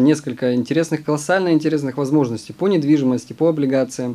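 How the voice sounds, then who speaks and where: A man's dark, mellow tone with a fairly high pitch at a very fast pace. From Siberia, Omsk. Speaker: professional trader and fund manager. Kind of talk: interview. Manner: hesitant with fillers.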